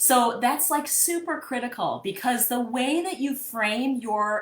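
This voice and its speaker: A woman with a Midwestern accent, high-pitched, lively in intonation, at a fairly slow pace. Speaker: therapist and coach. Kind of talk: live-streamed mini workshop. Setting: live video stream. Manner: casual, conversational with fillers.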